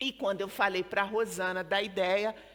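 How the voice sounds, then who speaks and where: This woman talks at a fairly slow pace in a Rio accent. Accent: Brazilian Portuguese (Rio, carioca). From Brazil, Rio de Janeiro. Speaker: storyteller and book organizer. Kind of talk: book presentation talk. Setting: live event with audience. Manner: casual, conversational.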